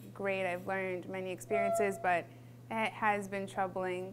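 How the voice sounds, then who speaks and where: There is audible room echo on this woman's voice. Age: 20s. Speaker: college student. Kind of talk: interview testimony. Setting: filmed interview. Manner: hesitant, many fillers.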